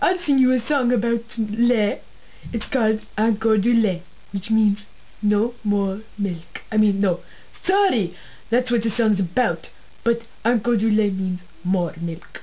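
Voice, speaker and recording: A put-on character voice at a fairly slow pace, with clear background noise. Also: female-sounding voice, fairly high pitch for a woman. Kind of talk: comedy sketch, mock language lesson.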